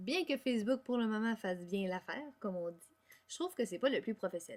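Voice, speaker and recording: With a Quebec accent, a woman talks at a fairly high pitch, her voice making very wide pitch swings. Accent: Québécois French. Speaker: music education student. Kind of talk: class presentation. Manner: fast.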